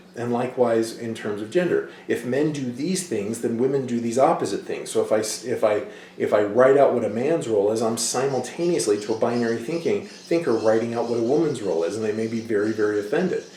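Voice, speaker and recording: Amid noticeable background noise and audible room echo, a man talks very fast at a medium pitch with ordinary pitch variation. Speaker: college instructor. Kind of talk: lecture. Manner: animated, speaks with hands.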